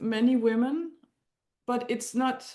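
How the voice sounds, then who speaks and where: Speaking with a Danish accent at a moderate pace, a woman has a high pitch, a dark, mellow tone and fairly even intonation. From Denmark. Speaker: astrology client. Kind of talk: consultation conversation. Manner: halting.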